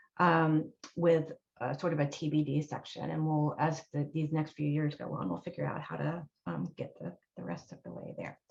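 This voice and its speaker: A woman speaks with a very deep, low pitch. Her pitch variation is ordinary. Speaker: university sustainability director. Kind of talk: panel presentation. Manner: fast.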